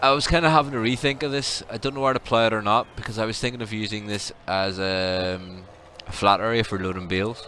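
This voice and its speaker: Over noticeable background noise, a man with a fairly low pitch talks at a very fast pace with ordinary pitch variation. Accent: Belfast. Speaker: gaming livestreamer. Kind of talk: casual livestream chat. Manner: relaxed, many fillers (um).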